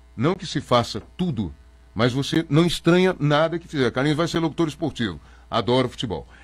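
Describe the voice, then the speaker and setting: A man speaks in a fairly high voice with vocal fry and lively intonation. The recording is very clean, with a silent background. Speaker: radio announcer. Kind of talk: interview. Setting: studio. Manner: fast; animated.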